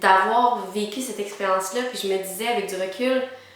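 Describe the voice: Strong room echo surrounds a woman speaking at a moderate pace. Her pitch is medium with ordinary variation, and her tone is fairly bright.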